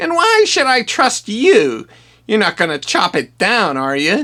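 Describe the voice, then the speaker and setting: A cartoonish character voice, fairly high in pitch, moves at a fairly slow pace. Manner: sarcastic, offhand.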